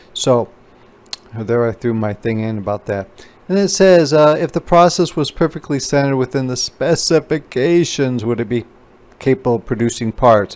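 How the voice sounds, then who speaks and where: At a moderate pace, a man talks in a normal speaking voice at a medium pitch with lively intonation. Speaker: instructor. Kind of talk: tutorial. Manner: casual.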